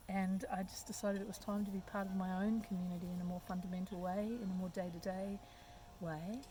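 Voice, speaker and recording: Speaking very fast in an Australian accent, a woman has a medium-pitched, dark and mellow, somewhat breathy voice with flat, monotone intonation. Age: 60s. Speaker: community development worker. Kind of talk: interview. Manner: hesitant, many fillers.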